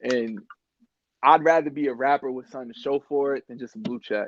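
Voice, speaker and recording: Using a normal speaking voice, a man talks fairly quickly. His voice is medium in pitch, with fairly even intonation. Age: 20s. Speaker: rapper. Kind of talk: casual chat.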